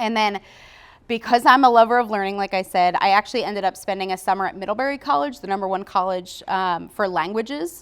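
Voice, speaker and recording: In a normal speaking voice, a woman at a medium pitch talks at a fairly quick pace with ordinary pitch variation. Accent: American. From US, Philadelphia. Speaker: marketing business owner. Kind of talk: podcast interview.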